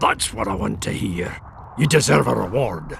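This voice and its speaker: A man's put-on character voice, very deep and low-pitched, raspy, with very wide pitch swings, at a moderate pace. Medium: video game. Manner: blunt, gruff.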